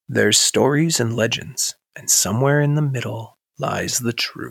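A man's raspy put-on character voice at a medium pitch, with ordinary pitch variation and a moderate pace. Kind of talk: cinematic. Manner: dramatic, portentous.

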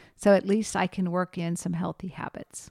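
On a very clean recording with a silent background and a dry, close sound with no echo, a woman speaks in a normal speaking voice with fairly even intonation at a moderate pace. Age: 50s. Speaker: podcast host and geriatric nurse. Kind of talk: educational solo podcast.

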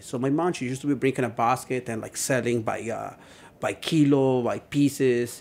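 Speech at a moderate pace with a Spanish accent. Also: man. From Puebla, Mexico. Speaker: chef. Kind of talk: casual chat. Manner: halting.

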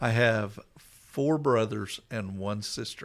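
Someone speaks in an American accent at a very slow pace with ordinary pitch variation. It is a very clean recording with a silent background. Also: man. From Coweta, Oklahoma. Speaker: pastor. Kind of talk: personal testimony in casual interview.

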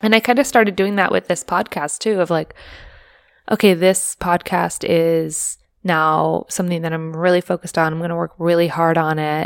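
A woman at a moderate pace with fairly even intonation, in a very clean, dry, close recording with no echo and a silent background. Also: fairly low pitch for a woman. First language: not English. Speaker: podcast co-host. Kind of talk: casual chat.

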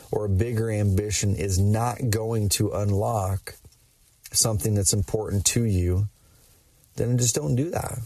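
Somewhat breathy and dark, mellow in tone, a man's fairly low voice moves at a moderate pace with ordinary pitch variation. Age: 30s. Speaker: podcast host and entrepreneur. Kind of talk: solo monologue. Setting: in a car. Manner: animated.

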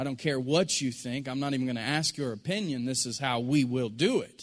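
Someone speaks at a moderate pace in a plain, everyday voice with ordinary pitch variation. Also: man. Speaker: pastor. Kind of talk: sermon. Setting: church.

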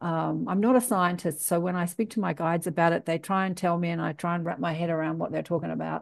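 Against a quiet background, a woman with an Australian accent and a fairly low pitch talks very fast, hardly pausing, her intonation fairly even. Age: 60s. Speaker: podcast host. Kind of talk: casual interview chat.

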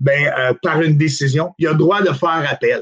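The man's fairly high pitch varies in an ordinary way. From Quebec, Outaouais. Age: 50s. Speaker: bus driver and former political candidate. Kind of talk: casual political interview. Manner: halting, with frequent repetitions.

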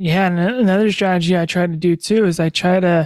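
On a very clean recording with a silent background, a man speaks in a high voice with fairly even intonation, the sound dry and close with no echo. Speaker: podcast host and producer. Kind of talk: casual interview.

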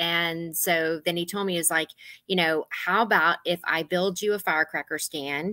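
A woman's fairly low voice with a bright, sharp tone and an American accent, moderate in pace, fairly even in intonation, dry and close with no echo, in a very clean recording with a silent background. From Texas (Gonzales). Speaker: interior designer. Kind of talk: casual chat.

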